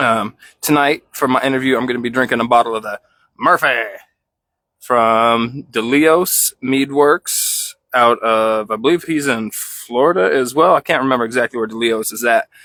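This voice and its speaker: On a very clean recording with a silent background and a dry, close sound without echo, a man speaks at a moderate pace and medium pitch in a bright, sharp tone with ordinary pitch variation. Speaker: podcast host. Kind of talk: casual chat. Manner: halting. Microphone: new mic.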